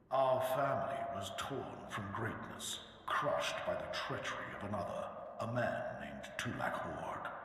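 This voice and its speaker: A man's put-on character voice at a moderate pace, with strong echo and loud background noise. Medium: machinima. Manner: grave, commanding.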